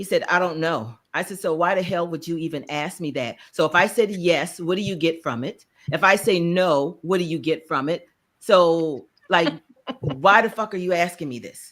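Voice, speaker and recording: Speaking at a moderate pace with a slight Charleston accent, a woman uses a fairly low pitch, ordinary pitch variation and big swings in loudness. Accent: slight Charleston, South Carolina. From US South, Charleston, South Carolina. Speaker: podcast co-host. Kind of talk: casual chat.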